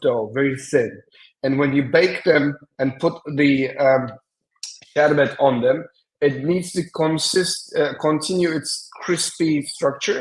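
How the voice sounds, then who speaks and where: A man's fairly high voice in a Turkish accent, very slow in pace, with fairly even intonation. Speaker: semiotician and design strategist. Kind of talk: conference presentation. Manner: hesitant, with many fillers.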